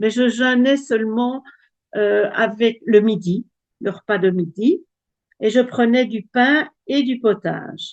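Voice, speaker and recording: Pausing long and often, a woman speaks very slowly at a fairly high pitch with ordinary pitch variation. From Belgium. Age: 70s. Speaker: testimony giver. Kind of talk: testimony. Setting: video call. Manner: halting.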